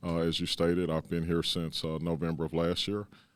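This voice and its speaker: In a Texan accent, a man speaks very fast with a very deep, low pitch and monotone, flat intonation on a very clean recording with a silent background. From Dallas, Texas. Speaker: police chief. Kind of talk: interview. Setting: city hall.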